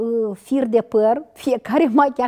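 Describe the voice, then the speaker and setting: Against a quiet background, a woman speaks at a very slow pace in a dark, mellow tone with ordinary pitch variation. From Moldova, Ialoveni district; Moldova. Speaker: veteran TV and radio journalist; interview guest, TV presenter. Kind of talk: interview. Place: studio. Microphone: lapel.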